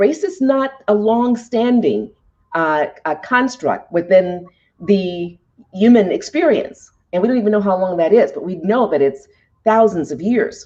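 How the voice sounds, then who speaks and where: A woman with an American accent has a dark, mellow tone. Her intonation is lively. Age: 60s. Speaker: leadership show host. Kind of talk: interview. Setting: live online broadcast. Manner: hesitant with fillers.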